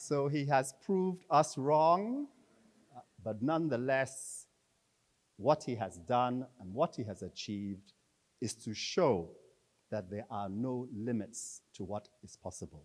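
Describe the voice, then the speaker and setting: In a very clean recording with a silent background, a medium-pitched man speaks very slowly with long, frequent pauses, lively intonation and big swings in loudness. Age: 60s. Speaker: conference speaker introducing the keynote. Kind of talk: formal introduction speech.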